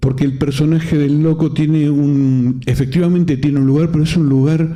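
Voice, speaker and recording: Audible room echo surrounds a man's fairly high-pitched, somewhat breathy voice. His tone is dark and mellow, and his pace is fairly slow. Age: 60s. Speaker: film council president and panel moderator. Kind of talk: panel discussion. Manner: halting, frequent self-corrections.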